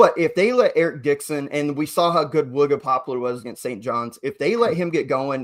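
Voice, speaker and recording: This man has a plain, everyday voice with a fairly high pitch. He speaks at a fairly quick pace on a very clean recording with a silent background. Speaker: college basketball podcast host. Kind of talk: casual sports podcast chat.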